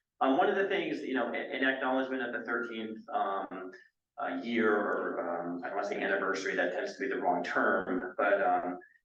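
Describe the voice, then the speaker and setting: A man talks fairly quickly, with room echo clearly audible. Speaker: city manager. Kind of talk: speech to a board meeting. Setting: meeting room at a senior center. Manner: loud.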